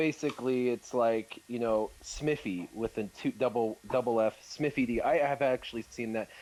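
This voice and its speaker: With an American accent, a man talks at a medium pitch with ordinary pitch variation in an unremarkable speaking voice. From United States. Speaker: gaming content creator. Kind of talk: live stream Q&A chat.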